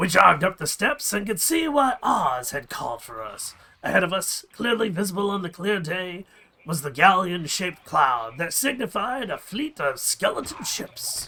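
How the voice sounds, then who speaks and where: The man's pitch is high. He uses a put-on character voice. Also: moderate pace. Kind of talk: adventure story reading. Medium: game stream.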